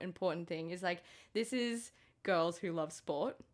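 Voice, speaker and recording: In an Australian accent, a woman speaks at a medium pitch on a very clean recording with a silent background. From Queensland, Sunshine Coast. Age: 30s. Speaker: podcast co-host. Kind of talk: casual chat.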